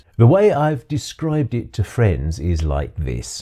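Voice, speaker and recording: With very wide pitch swings, the somewhat breathy voice carries a dark, mellow tone. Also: man. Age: 60s. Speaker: retired teacher turned author and video maker. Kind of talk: scripted video monologue.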